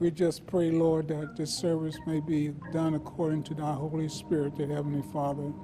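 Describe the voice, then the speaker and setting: A man's monotone, flat voice at a moderate pace with hardly any pauses, over noticeable background noise. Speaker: church minister leading prayer. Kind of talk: prayer. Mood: solemn, earnest. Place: church.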